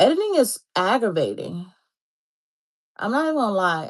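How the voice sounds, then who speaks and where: A woman's voice, dry and close with no echo, over a quiet background. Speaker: homesteading livestreamer. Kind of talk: casual livestream chat. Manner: fast.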